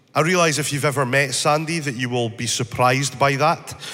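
A man's fairly high-pitched voice at a moderate pace, with ordinary pitch variation and audible room echo. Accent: Scottish. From northeast Scotland, Speyside. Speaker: church speaker. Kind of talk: talk to church congregation. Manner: animated, joking.

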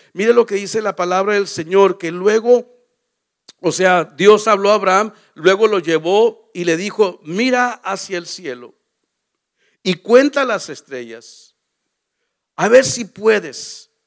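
At a very slow pace with long, frequent pauses, a man speaks in a high pitch with ordinary pitch variation. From Mexico. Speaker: pastor. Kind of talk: sermon. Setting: church.

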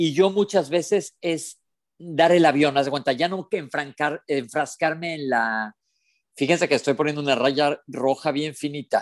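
A man's plain, everyday voice, fairly high-pitched and fairly slow, with ordinary pitch variation and a dry, close sound with no echo. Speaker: podcast co-host. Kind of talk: casual chat. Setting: remote connection.

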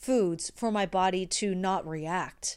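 This woman's voice is captured on a very clean recording with a silent background. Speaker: musical theater performer and podcast host. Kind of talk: solo monologue, personal story. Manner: casual, conversational, self-correcting.

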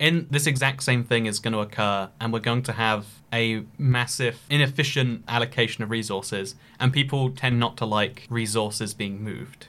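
A man's voice has a bright, sharp tone and medium pitch. He speaks at a moderate pace with fairly even intonation, in a very clean recording with a silent background. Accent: British. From UK. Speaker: podcast host. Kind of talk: casual chat.

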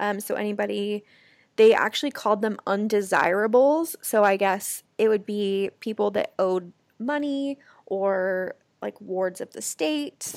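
In an American accent, a woman talks at a fairly slow pace with a plain, everyday voice, medium pitch and ordinary pitch variation, the sound dry and close with no echo and the recording very clean over a silent background. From US Pacific Northwest (Portland, Oregon area). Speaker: podcast co-host. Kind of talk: casual chat.

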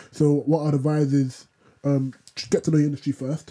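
A man with a London accent, fairly high in pitch and dark and mellow in tone, at a fairly quick pace with fairly even intonation. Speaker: podcast co-host. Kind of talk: casual chat.

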